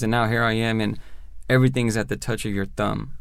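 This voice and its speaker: Speaking in an American accent, a man uses an unremarkable speaking voice at medium pitch with fairly even intonation. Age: 30s. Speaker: prison reform advocate, formerly incarcerated. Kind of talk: interview, personal testimony.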